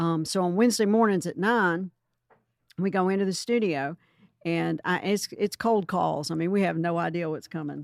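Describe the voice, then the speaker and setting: At a moderate pace and fairly low pitch, a woman speaks with ordinary pitch variation in a very clean, dry, close recording with no echo and a silent background. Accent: strong Southern US. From US South. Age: 60s. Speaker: home inspector. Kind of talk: interview.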